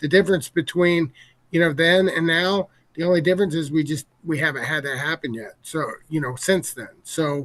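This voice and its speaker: A man with a fairly high pitch and ordinary pitch variation keeps a moderate speed. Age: 60s. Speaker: game company executive. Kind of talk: casual interview. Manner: halting.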